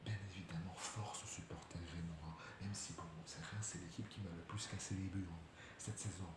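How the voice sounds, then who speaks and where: Soft-spoken and at a moderate pace, a man talks in a very deep, low pitch with fairly even intonation, with audible room echo around him. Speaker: football YouTuber. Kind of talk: match debrief vlog. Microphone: quiet, need to turn up volume.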